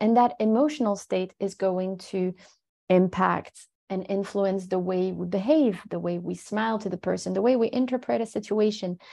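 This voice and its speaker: A woman with a French accent speaks at a fairly slow pace in a dark, mellow tone at medium pitch. Her pitch variation is ordinary, and the background is quiet. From France, Paris suburbs. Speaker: resilience and mental fitness expert. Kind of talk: interview.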